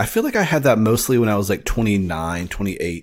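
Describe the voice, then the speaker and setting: A man speaks in a normal speaking voice at a medium pitch, in a very clean recording with a silent background. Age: 30s. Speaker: filmmaker. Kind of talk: casual chat.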